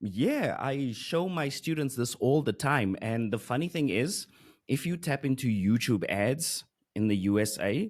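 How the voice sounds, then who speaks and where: With a South African accent and lively intonation, a man at medium pitch speaks at a fairly slow pace over a quiet background. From South Africa, Johannesburg. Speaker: Google Ads expert and course creator; podcast guest, marketing teacher. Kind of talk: interview. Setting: video call. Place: studio. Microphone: studio mic.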